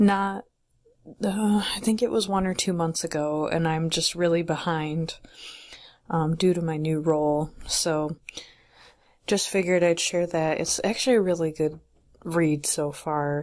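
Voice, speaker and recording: Soft-spoken, a woman talks at a fairly slow pace with long, frequent pauses. Her pitch is fairly low, with ordinary variation. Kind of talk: ASMR soft-spoken bookshelf tour.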